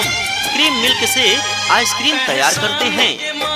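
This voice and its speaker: Music plays in the background as a man speaks in an extremely high pitch. His voice is raised and projected, his tone energetic. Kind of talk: street vendor loudspeaker advertisement. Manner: energetic, persuasive sales pitch.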